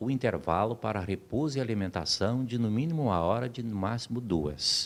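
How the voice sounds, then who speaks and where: A man talks in a plain, everyday voice at medium pitch. His pace is moderate and his intonation lively. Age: 60s. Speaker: labor lawyer. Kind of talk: interview. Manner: formal.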